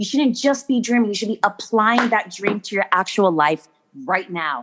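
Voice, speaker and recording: Speaking at a moderate pace, a woman sounds animated, with lively intonation. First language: not English. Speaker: children's author and motivational speaker. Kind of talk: podcast interview.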